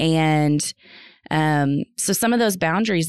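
A woman with an American accent speaks in a plain, everyday voice at a fairly low pitch, with ordinary pitch variation and a dry, close sound with no echo. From North Texas. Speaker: assistant principal. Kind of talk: casual chat.

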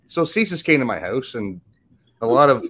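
A man with a normal speaking voice, lively intonation and a moderate pace, in a very clean recording with a silent background. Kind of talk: casual chat. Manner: profane, rambling.

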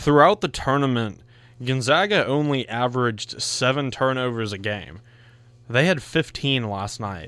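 This is a normal speaking voice with ordinary pitch variation. The pace is moderate. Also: man. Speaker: sports radio co-host. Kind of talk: casual sports banter. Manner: playful, teasing.

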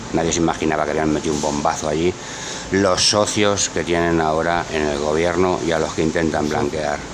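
The speech is monotone and flat, delivered at a moderate pace. Audible room echo and noticeable background noise are present. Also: man. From Barcelona, Spain. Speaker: political talk show commentator. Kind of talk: heated political chat.

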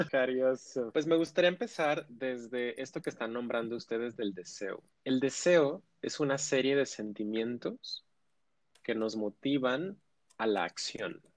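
A man with a normal speaking voice talks at a fairly slow pace and medium pitch, with ordinary pitch variation. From Mexico, Ciudad Juárez. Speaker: sexologist. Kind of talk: expert interview.

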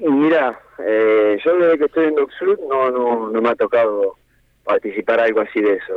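A man's medium-pitched voice keeps a moderate pace with ordinary pitch variation. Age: 40s. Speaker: professional footballer. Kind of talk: radio interview. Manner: halting, repeats words.

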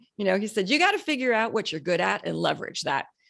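In a Canadian accent, a woman speaks with vocal fry against a quiet background. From Canada. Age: 40s. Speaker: cosmetics company founder. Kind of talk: interview.

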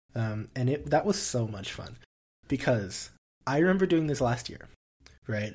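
On a very clean recording with a silent background, a man of medium pitch speaks at a moderate pace. He is somewhat breathy, with big swings in loudness and long, frequent pauses. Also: lively intonation. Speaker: podcast co-host, university student. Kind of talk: casual chat.

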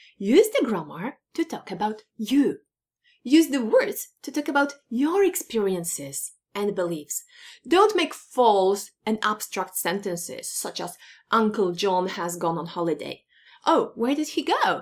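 A woman's fairly high voice with very wide pitch swings and a fairly slow pace, on a very clean recording over a silent background. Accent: Polish. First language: Polish. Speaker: English teacher. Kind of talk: tutorial. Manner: animated.

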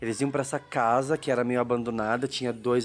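In a monotone, flat delivery, a man speaks at a fairly quick pace. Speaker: podcast host. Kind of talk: casual chat; scripted narration.

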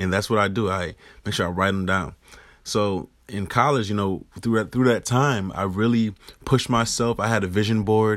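In an ordinary speaking voice, a man with an American accent talks at a moderate pace in a fairly low pitch with fairly even intonation, on a very clean recording with a silent background. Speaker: NFL football player. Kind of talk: casual solo podcast monologue. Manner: casual, conversational with fillers.

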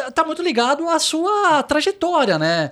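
A man's voice with very wide pitch swings. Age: 30s. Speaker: podcast host. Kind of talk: casual interview chat.

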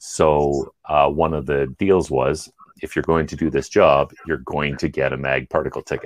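With a Canadian accent, a man talks at a moderate pace. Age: 40s. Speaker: engineer. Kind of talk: casual chat.

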